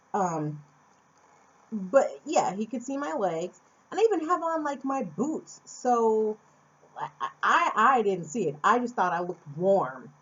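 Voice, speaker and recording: A woman with an American accent and a medium pitch swings very widely in pitch over noticeable background noise. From Phoenix, Arizona, USA. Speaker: vlogger. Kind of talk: casual talk to camera.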